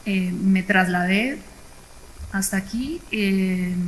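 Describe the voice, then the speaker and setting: This woman's voice sits at a medium pitch and moves with fairly even intonation. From Colombia, Bogotá. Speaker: entrepreneur, forestry engineer. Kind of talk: panel discussion.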